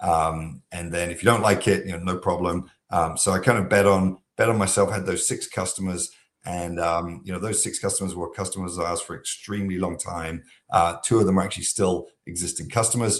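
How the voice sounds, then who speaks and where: Against a quiet background, the speaker talks fairly quickly with fairly even intonation. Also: man, very deep, low pitch for a man. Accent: American. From southeast England. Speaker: software company founder. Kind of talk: podcast interview. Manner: many filler words (um, uh).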